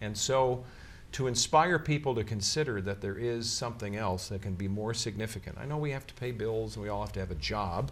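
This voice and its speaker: With an American accent, the voice carries vocal fry and ordinary pitch variation. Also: man. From Chicago. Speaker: TV meteorologist and pastor. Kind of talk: interview.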